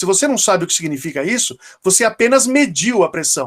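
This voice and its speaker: The man's intonation is lively. He speaks at a very fast pace. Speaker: dentistry professor. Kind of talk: lecture. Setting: online class.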